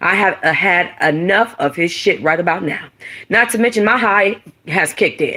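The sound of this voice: Bright and sharp in tone with a slightly husky edge, the voice moves at a moderate pace with ordinary pitch variation. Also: woman, fairly low pitch for a woman.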